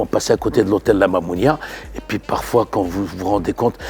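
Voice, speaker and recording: A man talks fairly quickly while noticeable background noise fills the recording. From Morocco, Marrakech. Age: 50s. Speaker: chef. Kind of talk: interview. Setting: restaurant. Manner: halting.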